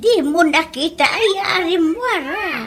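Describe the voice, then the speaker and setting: A put-on character voice speaks at an extremely high pitch. The pace is very slow. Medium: audio drama. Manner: scolding.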